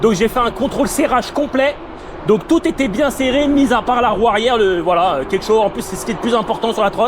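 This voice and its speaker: Against noticeable background noise, a loud man with a high voice speaks at a fairly quick pace with ordinary pitch variation. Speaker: electric scooter reviewer. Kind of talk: casual ride commentary. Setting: outdoors riding a scooter. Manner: casual, hesitant.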